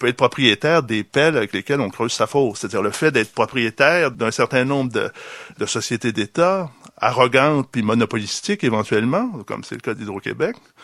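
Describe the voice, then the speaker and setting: With lively intonation and a fairly quick pace, a man talks in an unremarkable speaking voice, recorded with a dry, close sound and no echo. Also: medium pitch for a man. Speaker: philosopher and author. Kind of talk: public debate. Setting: bookstore event with audience.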